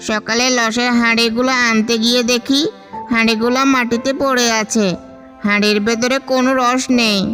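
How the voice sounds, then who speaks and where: A man's cartoonish character voice, extremely high-pitched and monotone, flat in intonation, fairly slow, with clear music in the background. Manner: fretful, exclamatory.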